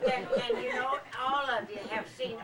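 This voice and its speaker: Noticeable background noise sits behind a woman's voice. She talks at a fairly slow pace with lively intonation. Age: 80s+. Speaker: birthday celebrant. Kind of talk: after-dinner speech. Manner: halting.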